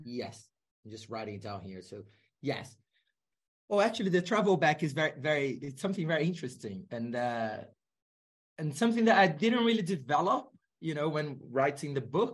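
With a Portuguese accent, the speaker goes at a moderate pace in a somewhat breathy voice, with long, frequent pauses, big swings in loudness and very wide pitch swings. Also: man, fairly high pitch for a man. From Brazil. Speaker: sociology professor. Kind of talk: interview.

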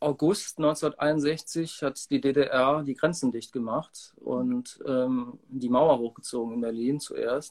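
A man with a fairly high voice talks at a very slow pace with hardly any pauses and fairly even intonation. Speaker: musician. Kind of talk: interview.

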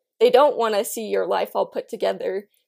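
The recording is very clean and the background is silent. Here, a woman talks with an American accent. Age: young. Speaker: beauty pageant titleholder and college student. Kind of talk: casual chat.

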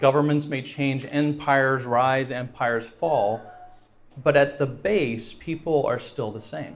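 In a space with audible room echo, a man with a fairly high pitch speaks at a fairly slow pace with fairly even intonation. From France. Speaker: guest speaker. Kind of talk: evangelistic lecture with consecutive interpretation. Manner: pauses after each sentence for interpreter.

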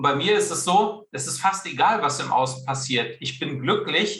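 A man speaks at a moderate pace with a bright, sharp tone. Room echo is audible. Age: 40s. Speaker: career and sales coach, author. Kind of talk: interview. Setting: video call.

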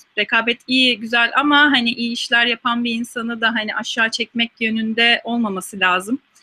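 A woman's fairly high voice at a moderate pace with fairly even intonation. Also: hardly any pauses. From Turkey, İzmir. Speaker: scientist. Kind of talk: interview Q&A. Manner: hesitant with frequent fillers.

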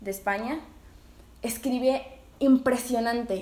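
Speaking with a Mexican accent, a woman has a high pitch and a dark, mellow tone. She goes at a fairly slow pace, and audible room echo surrounds her voice. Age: 20s. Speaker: podcast co-host and writer. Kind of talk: casual chat.

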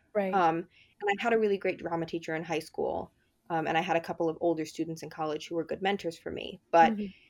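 In an American accent, a woman speaks at a very fast pace with fairly even intonation. The background is quiet. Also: fairly low pitch for a woman. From New Jersey, US. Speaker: stage manager. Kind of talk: interview. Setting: remote recording.

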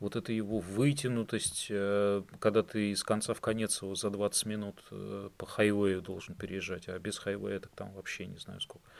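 In a normal speaking voice, a man talks at a moderate pace with hardly any pauses and a fairly low pitch. His intonation stays fairly even while his loudness swings widely. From Russia, Saint Petersburg. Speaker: IT worker. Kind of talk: casual chat.

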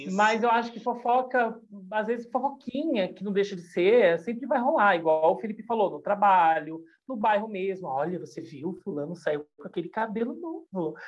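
A woman's fairly high voice at a moderate pace, with very wide pitch swings and big shifts in loudness. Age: 40s. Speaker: YouTuber and gossip commentator. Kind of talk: casual podcast chat.

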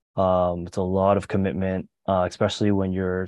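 A man with a Canadian accent and a very deep, low pitch. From Canada, Mississauga (Toronto area). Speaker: podcast guest. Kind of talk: casual chat.

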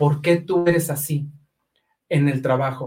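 The man speaks at a fairly slow pace. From Mexico, Aguascalientes. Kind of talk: testimony.

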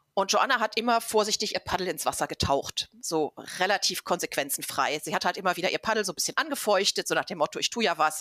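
A woman speaks at a medium pitch with a bright, sharp tone, a fairly quick pace and lively intonation. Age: 50s. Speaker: travel book author and researcher. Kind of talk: casual interview.

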